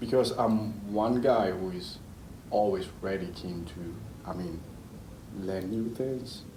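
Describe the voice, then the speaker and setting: A man speaks very slowly, with long, frequent pauses, at a fairly low pitch and with ordinary pitch variation. His voice is somewhat breathy with a dark, mellow tone, and the room echo is audible. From Ghana, later raised in Italy. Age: 30s. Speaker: engineer. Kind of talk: interview.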